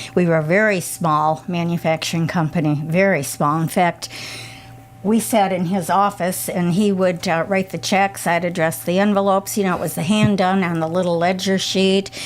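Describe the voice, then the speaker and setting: A woman with an American accent speaks at a fairly low pitch and fairly even intonation. Noticeable background noise runs under her voice. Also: moderate pace. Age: 80s+. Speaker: retired business owner. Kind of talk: radio interview.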